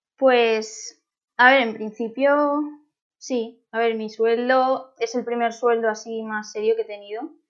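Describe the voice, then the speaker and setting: A woman's fairly high voice at a very slow pace, with monotone, flat intonation. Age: 20s. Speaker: doctoral researcher in plant science. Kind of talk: interview. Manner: hesitant, many fillers.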